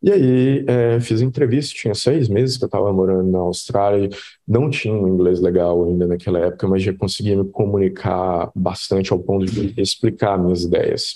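A man with a fairly low voice and a dark, mellow tone talks at a moderate pace with ordinary pitch variation. He hardly pauses at all, and the background is quiet. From Brazil, Minas Gerais (Belo Horizonte). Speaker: head of design, UX designer. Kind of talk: casual interview chat.

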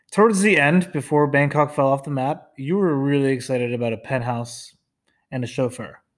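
A man has an ordinary speaking voice with a fairly high pitch and ordinary pitch variation. He talks at a fairly quick pace in a very clean recording with a silent background. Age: 30s. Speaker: host's fiance. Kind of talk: casual chat.

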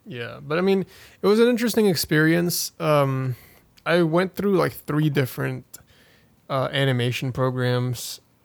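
Speaking at a moderate pace, a man with an unremarkable speaking voice talks at a fairly high pitch. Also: lively intonation. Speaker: podcast host. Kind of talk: casual chat. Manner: filler-heavy, casual.

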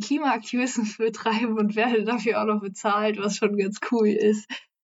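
At a moderate pace, a woman speaks in a fairly high pitch with flat, monotone intonation. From Hessen, Frankfurt am Main. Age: young. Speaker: climate activist and environmental volunteer. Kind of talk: casual interview.

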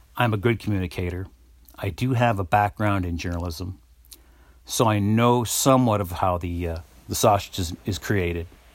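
On a very clean recording with a silent background, a man speaks at a moderate pace in a fairly low pitch with ordinary pitch variation. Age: 50s. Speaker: podcast host. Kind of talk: solo commentary monologue. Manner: hesitant, many fillers.

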